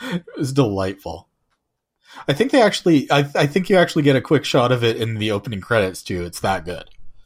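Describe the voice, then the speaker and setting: The voice moves at a fairly quick pace with very wide pitch swings and vocal fry. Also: man, medium pitch for a man. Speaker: podcast host. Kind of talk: casual chat.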